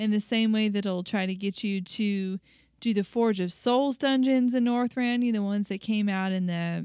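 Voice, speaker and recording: A normal speaking voice at a moderate pace with fairly even intonation comes through in a dry, close sound with no echo. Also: woman. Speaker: podcast co-host. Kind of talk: casual chat.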